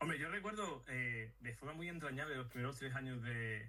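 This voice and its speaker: Speaking with a strong Sevillian accent, a man uses lively intonation, a medium pitch and a fairly quick pace. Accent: strong Sevillian (Andalusian). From Madrid, Spain. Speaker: neuropsychologist. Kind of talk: casual interview chat. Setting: video call.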